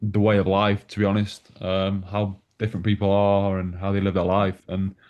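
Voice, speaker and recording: A man's fairly low, monotone voice with flat intonation, a northwest English accent and a moderate pace. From northwest England, Manchester. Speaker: newcomer to a philosophy discussion group. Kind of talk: casual group chat introduction. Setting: video call. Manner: hesitant, many fillers.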